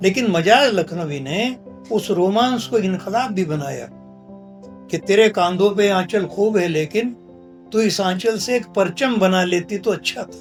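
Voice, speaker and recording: Over music in the background, a man speaks at a high pitch with ordinary pitch variation. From India. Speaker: poet. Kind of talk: interview answer.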